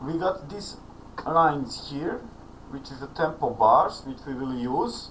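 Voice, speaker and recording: Amid noticeable background noise and audible room echo, a man with a Serbian accent speaks at a fairly slow pace and fairly high pitch. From Serbia, Belgrade. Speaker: online music student. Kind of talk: tutorial.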